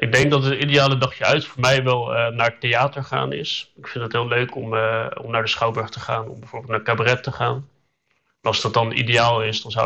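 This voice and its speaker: Speaking at a fairly quick pace, a man has a medium-pitched, bright, sharp tone with vocal fry and fairly even intonation. His loudness swings widely. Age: 30s. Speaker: communications adviser, hard of hearing. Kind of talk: casual interview. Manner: hesitant, many fillers.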